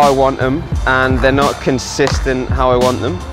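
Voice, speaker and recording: Clear music plays in the background as a man talks at a moderate pace, in a dry sound with no echo. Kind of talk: casual vlog chat, tutorial. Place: street. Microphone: lapel.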